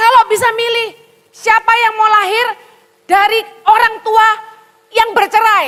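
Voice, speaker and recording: A woman with a Javanese accent uses a raised, projected voice at an extremely high pitch, bright and sharp in tone. She sounds animated and leaves long, frequent pauses. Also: fairly slow pace. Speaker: pastor. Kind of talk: sermon.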